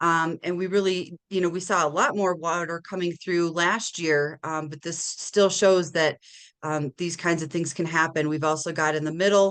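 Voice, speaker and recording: A woman's fairly low voice with fairly even intonation at a moderate pace. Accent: slight Minnesota. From Minnesota. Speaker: watershed manager. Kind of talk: webinar presentation. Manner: casual with frequent fillers.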